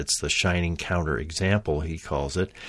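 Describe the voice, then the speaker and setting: A man's very deep, low voice with ordinary pitch variation. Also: very clean recording, silent background. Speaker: podcast host. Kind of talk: podcast monologue. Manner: unscripted, hesitant with fillers.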